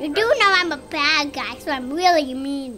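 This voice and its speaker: A high-pitched voice speaks at a moderate pace. Music plays in the background. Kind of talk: comic overacting of kid dialogue. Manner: stubborn, yelling.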